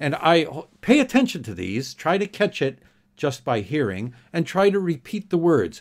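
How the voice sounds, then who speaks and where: On a very clean recording with a silent background, a man with a North American accent uses vocal fry and very wide pitch swings. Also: fairly high pitch for a man. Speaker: English teacher. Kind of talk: tutorial. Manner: slow and clearly enunciated.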